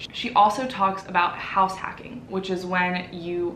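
Over light background noise and audible room echo, a woman talks at a moderate pace. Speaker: channel host. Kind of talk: casual vlog intro. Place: home room. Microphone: camera far.

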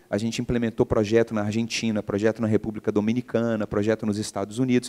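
Against a quiet background, a man speaks at a medium pitch in a dark, mellow tone. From Brazil, Belo Horizonte (Minas Gerais); Minas Gerais, Brazil. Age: 40s. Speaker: entrepreneur; guest. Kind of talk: interview, casual conversation. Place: stage. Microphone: handheld.

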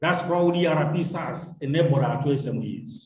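A man speaks at a high pitch against a quiet background. Room echo is audible. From Uganda. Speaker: university lecturer. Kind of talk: online lecture. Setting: video call. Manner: formal. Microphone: video call.

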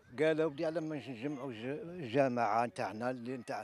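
In an ordinary speaking voice, a man talks at a medium pitch with ordinary pitch variation. The recording is very clean with a silent background. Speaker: TV sports reporter. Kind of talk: field interview.

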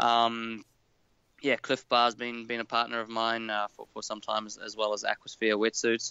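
Moderate-paced speech from a man with a New Zealand accent. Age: 30s. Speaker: professional triathlete. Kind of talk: casual interview.

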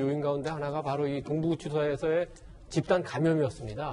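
A man's fairly high-pitched voice over light background noise. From South Korea. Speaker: newspaper editorial writer. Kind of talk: news panel discussion. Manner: halting. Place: studio. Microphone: lapel.

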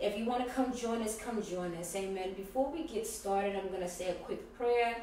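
There is light background noise and audible room echo. A woman speaks at a fairly quick pace with ordinary pitch variation. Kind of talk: church announcement and teaching. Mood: warm, inviting, upbeat. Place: home room. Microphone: camera far.

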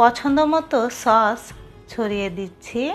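Music plays in the background while a woman speaks with very wide pitch swings. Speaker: home cooking channel host. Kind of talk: recipe tutorial narration.

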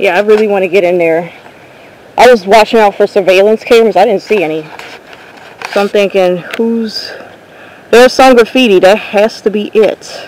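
Speech comes at a moderate pace with long, frequent pauses, the sound dry with no echo and light noise behind it. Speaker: urban explorer vlogger. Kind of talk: casual vlog chat. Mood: curious, slightly cautious. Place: open country. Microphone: phone near.

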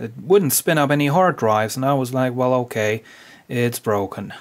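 The background is quiet as a man speaks at a moderate pace. His pitch varies in an ordinary way. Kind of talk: tutorial. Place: workshop. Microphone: phone near.

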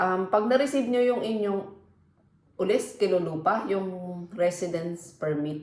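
There is audible room echo around the recording. A woman speaks at a fairly slow pace. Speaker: vlogger. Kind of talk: casual vlog talk.

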